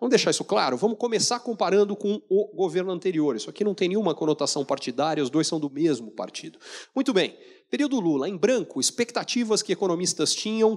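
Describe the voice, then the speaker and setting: Against a quiet background, a man with a high pitch talks at a very fast pace in an animated tone with lively intonation. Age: 40s. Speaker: economist speaker; keynote speaker. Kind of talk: keynote lecture. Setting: stage with audience. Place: hall. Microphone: handheld.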